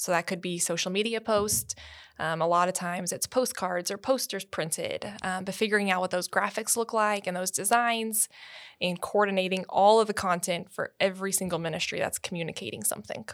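An ordinary speaking voice from a woman at medium pitch, ordinary pitch variation, a fairly quick pace, and a very clean recording with a silent background. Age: 20s. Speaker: church communications staff. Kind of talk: casual chat.

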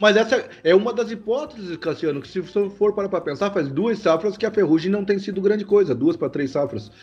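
Over noticeable background noise, a man with a high pitch speaks at a fairly quick pace, with lively intonation and hardly any pauses. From Santa Catarina west, Brazil. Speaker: agronomist, consultant and professor. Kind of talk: casual podcast interview.

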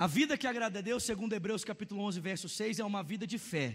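A high-pitched male voice with a Brazilian accent and ordinary pitch variation, on a very clean recording with a silent background. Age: 30s. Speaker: pastor. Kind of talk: sermon. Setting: church service with congregation. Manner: animated.

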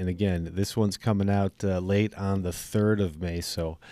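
An Upper Midwest accent at a moderate pace. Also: man, very clean recording, silent background. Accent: Upper Midwest American. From northern Wisconsin. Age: 40s. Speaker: podcast host. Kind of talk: casual interview. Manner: animated.

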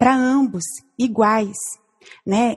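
A woman speaks at a very slow pace. Her fairly high voice is somewhat breathy. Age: 40s. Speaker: church member, mother. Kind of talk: casual chat. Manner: halting.

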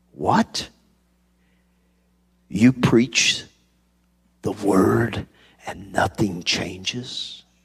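In a put-on character voice, a man sounds raspy at a fairly low pitch with ordinary pitch variation, speaking at a very slow pace with long, frequent pauses.

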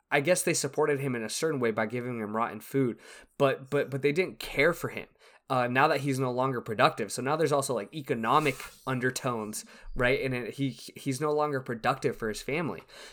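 The recording is very clean, with a silent background. A man speaks at a medium pitch and a very fast pace. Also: ordinary pitch variation. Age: 20s. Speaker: podcast co-host. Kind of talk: casual chat.

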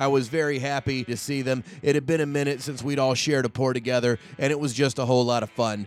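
Over noticeable background noise, a man with an American accent talks at a very fast pace with hardly any pauses, at a medium pitch with fairly even intonation. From North Carolina, US South. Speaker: podcast host. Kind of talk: casual interview chat. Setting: in-person recording in home studio.

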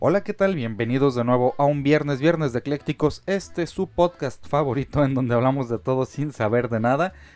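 A man with a Mexican accent and lively intonation. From Mexico. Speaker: podcast host. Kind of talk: casual chat.

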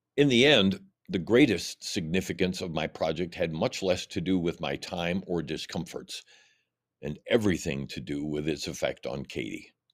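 In a very clean recording with a silent background, a man with a very deep, low voice and vocal fry speaks at a moderate pace with lively intonation. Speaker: blogger reading his essay. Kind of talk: reading aloud.

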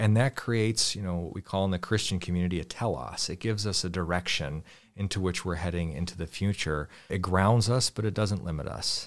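A man with an American accent talks at a fairly quick pace with hardly any pauses, his pitch very deep and low with ordinary variation. The recording is very clean, with a silent background. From Western Pennsylvania. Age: 30s. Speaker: interfaith institute associate director and minister. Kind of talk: interview conversation.

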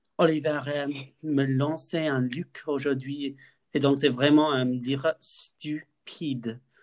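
A man with an English accent and a fairly high pitch, very slow and monotone, with flat intonation and long, frequent pauses. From UK. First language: English (speaking French). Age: 20s. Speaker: podcast co-host, university student. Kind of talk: casual chat. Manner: halting.

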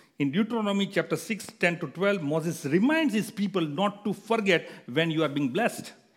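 Over noticeable background noise, a high-pitched man speaks at a moderate pace with lively intonation. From India. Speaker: guest preacher. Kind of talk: sermon. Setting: church. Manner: halting.

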